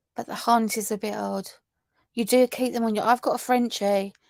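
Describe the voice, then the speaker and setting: A woman speaks in a southern English accent with monotone, flat intonation. The sound is dry and close with no echo, on a very clean recording with a silent background. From southern England. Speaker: true crime YouTuber. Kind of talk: live stream chat reading viewer comments. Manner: casual, halting with many fillers.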